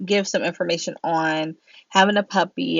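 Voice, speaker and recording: The pace here is moderate. It is an ordinary speaking voice with an American accent. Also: woman. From Pennsylvania, US. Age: 30s. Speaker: YouTuber. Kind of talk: Q&A vlog, casual chat. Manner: casual, chatty.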